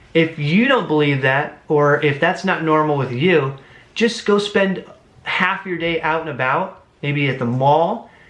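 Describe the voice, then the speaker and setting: A man at fairly high pitch with ordinary pitch variation, a fairly slow pace and audible room echo. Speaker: book reviewer. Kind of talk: book review monologue. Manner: animated.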